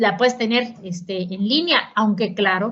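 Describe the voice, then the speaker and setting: In a Mexican accent, a woman speaks with lively intonation. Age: 60s. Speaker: politician and economist. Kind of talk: conference lecture. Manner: conversational.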